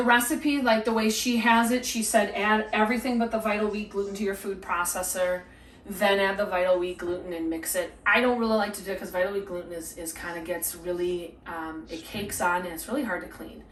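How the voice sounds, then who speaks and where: A woman with a medium pitch talks at a fairly quick pace with ordinary pitch variation and big swings in loudness, in a room with audible echo. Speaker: cooking vlogger. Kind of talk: cooking tutorial. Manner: whispering; halting, many fillers.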